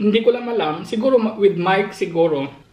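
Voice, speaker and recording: A woman talks at a fairly quick pace, with audible room echo and noticeable background noise present. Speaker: vlogger. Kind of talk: casual vlog chat. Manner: soft-spoken; halting, many fillers.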